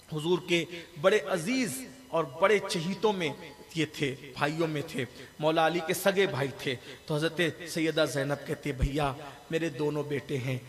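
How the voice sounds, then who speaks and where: There is noticeable background noise behind this speaker. He is a man with a fairly high pitch. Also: ordinary pitch variation. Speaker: Islamic scholar delivering a religious sermon (bayan). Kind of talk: religious sermon about Karbala, delivered to a public gathering.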